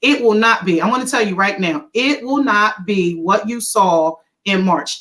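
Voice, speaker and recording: A woman with an American accent talks at a moderate pace in a fairly high pitch with lively intonation. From Philadelphia, US. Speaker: educator. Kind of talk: video call panel presentation.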